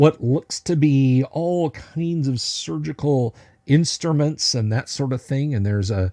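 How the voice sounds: Lively intonation over a natural reading voice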